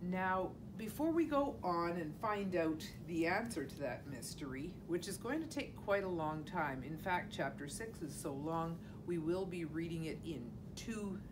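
A woman with a fairly low pitch speaks at a fairly slow pace over noticeable background noise. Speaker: teacher reading to children. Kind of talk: storytime introduction and explanation. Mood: warm, friendly. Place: classroom. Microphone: camera far.

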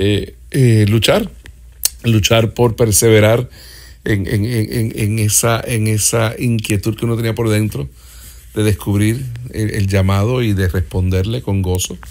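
A man speaks at a fairly slow pace and fairly low pitch, with ordinary pitch variation, in a very clean recording with a silent background. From Puerto Rico, then Miami from age 11. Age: 50s. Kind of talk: interview testimony. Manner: halting, many filler sounds.

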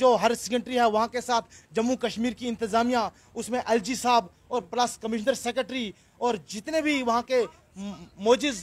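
A man speaks at an extremely high pitch. His pace is fairly slow and his intonation fairly even. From Doda district, Jammu and Kashmir; Jammu and Kashmir. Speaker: daily wage worker, local resident. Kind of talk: interview. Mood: aggrieved, earnest complaint. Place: street. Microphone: handheld.

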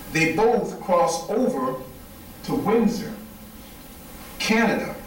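Very slow speech in an American accent, with long, frequent pauses and noticeable background noise. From upstate New York, Wayne County. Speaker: historical reenactor and lecturer. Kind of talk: lecture.

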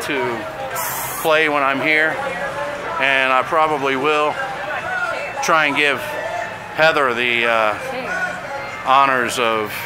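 A man's voice against crowd noise in the background. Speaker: vlogger touring a theme park. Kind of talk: casual vlog chat. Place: street.

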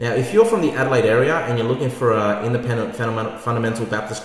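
A man's voice carries audible echo from the room. He moves at a fairly quick pace. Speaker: church pastor. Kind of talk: casual announcement to camera. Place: home room. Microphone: webcam.

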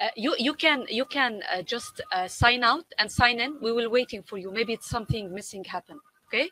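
A woman's fairly high, normal speaking voice at a fairly quick pace, with lively intonation and a dry, close sound with no echo. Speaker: event moderator. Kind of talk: webinar Q&A. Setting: video call.

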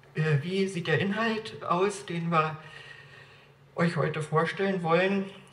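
A high-pitched male voice moves very slowly, broken by long, frequent pauses. His intonation is fairly even, and the room echo is audible. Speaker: evangelist and church speaker. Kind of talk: lecture. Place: church. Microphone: camera far.

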